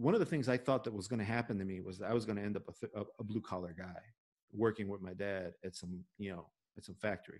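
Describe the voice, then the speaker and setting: Speaking with a Chicago accent, a man talks at a fairly quick pace with ordinary pitch variation. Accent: Chicago American English. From Chicago, Little Village (Mexican-American neighborhood). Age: 40s. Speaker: podcast host. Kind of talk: casual chat. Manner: halting.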